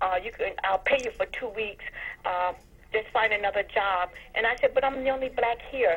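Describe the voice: A woman speaks at a moderate pace in a medium pitch. Her tone is fairly bright, with ordinary pitch variation.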